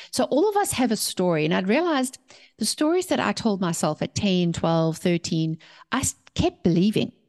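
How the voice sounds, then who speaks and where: A woman with a South African accent, medium pitch and very wide pitch swings, animated in tone, at a moderate pace and very even loudness, over a quiet background. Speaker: author and mindset coach. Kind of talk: interview.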